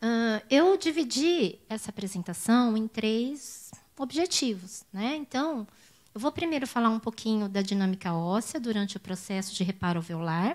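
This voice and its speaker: At a moderate pace, a woman with a fairly high voice lets her pitch swing very widely. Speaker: professor. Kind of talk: lecture. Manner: halting.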